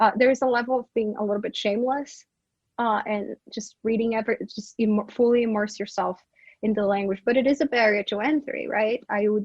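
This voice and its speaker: A woman with a Brazilian Portuguese accent talks at a fairly quick pace and fairly high pitch, her intonation fairly even. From Brazil, Manaus (Amazonas). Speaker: professor. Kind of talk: interview conversation.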